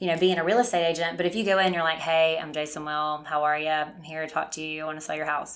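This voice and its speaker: A woman speaks with a fairly low pitch and fairly even intonation. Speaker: medical sales representative. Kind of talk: casual chat.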